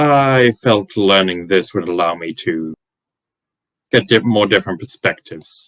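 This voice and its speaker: Putting on a character voice, a man talks at a moderate pace with fairly low pitch. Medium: actual play. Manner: polite, wry, measured.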